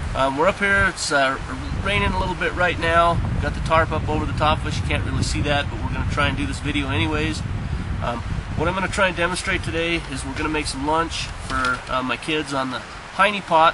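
Noticeable background noise sits under a man speaking at a fairly quick pace. The sound is dry, with no echo. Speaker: outdoor cooking vlogger. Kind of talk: casual tutorial.

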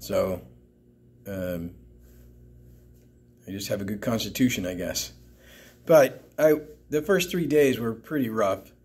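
This man talks at a fairly slow pace with long, frequent pauses and a medium pitch. His loudness swings widely, and his pitch swings are very wide. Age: old. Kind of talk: casual talk to camera, news commentary.

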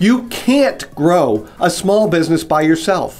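A man talks at a fairly slow pace. Faint music plays behind his voice. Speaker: business coach. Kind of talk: promotional direct-to-camera talk. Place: office.

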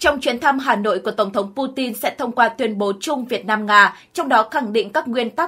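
Speaking with a plain, everyday voice, a woman talks at a moderate pace, fairly high in pitch with ordinary pitch variation. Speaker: news narrator. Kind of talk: news reading.

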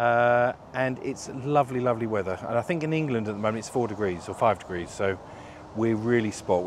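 The recording has noticeable background noise and a dry sound with no echo, and the voice shows ordinary pitch variation. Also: man. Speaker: presenter. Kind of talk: casual walkthrough commentary. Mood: cheerful, joking. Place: waterside. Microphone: lapel.

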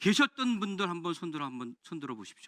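A man's raised, projected voice with a bright, sharp tone and lively intonation, dry and close with no echo, on a very clean recording with a silent background. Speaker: lawmaker questioning an official. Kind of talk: parliamentary committee questioning. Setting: parliamentary committee hearing room.

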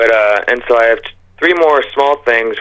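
A man's speech moves at a moderate rate, with a quiet background behind it. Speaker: radio caller. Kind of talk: casual call-in conversation.

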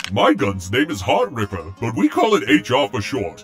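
Clear music plays in the background as a man puts on a character voice. He keeps a fairly low pitch at a moderate pace.

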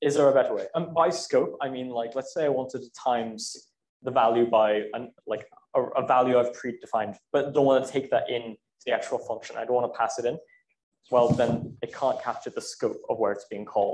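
A man with a Welsh accent talks at a fairly quick pace amid audible room echo. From South Wales. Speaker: student lecturer. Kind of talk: lecture. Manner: halting. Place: classroom.

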